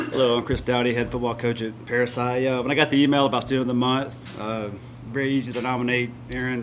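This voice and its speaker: Fast-talking with a Southern US accent, a man holds a medium pitch in a monotone, flat intonation, over noticeable background noise and audible room echo. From US South. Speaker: high school football coach. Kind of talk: award speech.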